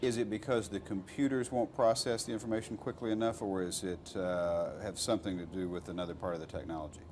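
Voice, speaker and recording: A man's fairly low voice in a Texas accent, very fast with hardly any pauses and ordinary pitch variation, over noticeable background noise. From Texas, Fort Worth. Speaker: radio journalist. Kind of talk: interview. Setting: filmed interview.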